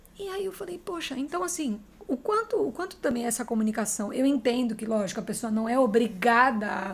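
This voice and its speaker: Noticeable background noise sits behind a woman's high-pitched voice. She talks fairly quickly with very wide pitch swings. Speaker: podcast host. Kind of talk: podcast interview.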